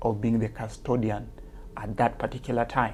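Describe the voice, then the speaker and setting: With a strong Kenyan accent, this man has a dark, mellow tone, a medium pitch, fairly even intonation and a moderate pace. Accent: Kenyan accent, heavy. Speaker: teacher and author. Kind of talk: interview. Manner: hesitant, many fillers.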